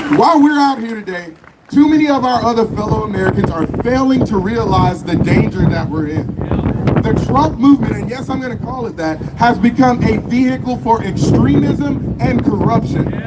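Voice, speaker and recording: An animated man at a moderate pace, his extremely high voice making very wide pitch swings, with audible room echo and noticeable background noise. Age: 20s. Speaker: political youth leader. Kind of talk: rally speech. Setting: outdoor rally stage with audience. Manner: loud, animated.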